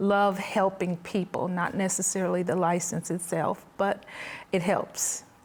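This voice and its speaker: Her loudness very even, a woman speaks at a medium pitch in a monotone, flat intonation. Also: fairly slow pace. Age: 60s. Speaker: mental health counselor. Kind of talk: testimony.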